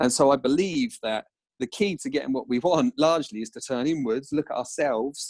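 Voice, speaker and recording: In a dry, close sound with no echo, a man with an Essex accent speaks at a fairly quick pace, using a fairly high pitch and lively intonation. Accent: Colchester. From Essex, Colchester. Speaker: entrepreneur and author. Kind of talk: podcast interview.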